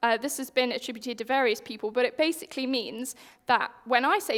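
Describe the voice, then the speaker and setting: With a British accent, a woman speaks at a fairly quick pace. Her pitch is high. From UK. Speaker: software engineer, conference speaker. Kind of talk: conference talk. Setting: stage with audience. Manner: conversational.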